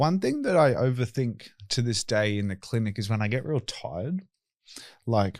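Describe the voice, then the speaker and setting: Speaking with an Australian accent, a man uses lively intonation at a medium pitch and moderate pace on a very clean recording with a silent background. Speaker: tattoo removal clinic owner and podcast host. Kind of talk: casual podcast chat. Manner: talkative.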